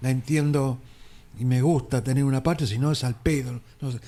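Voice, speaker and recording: The recording is very clean with a silent background. The voice has a dark, mellow tone. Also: man. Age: 60s. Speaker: radio host. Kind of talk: radio interview. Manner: casual.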